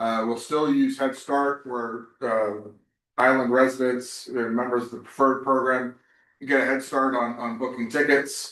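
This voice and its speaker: With a bright, sharp tone, a man speaks at a moderate pace in a medium pitch and monotone, flat intonation. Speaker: ferry operator official presenting a project. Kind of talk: public information session presentation.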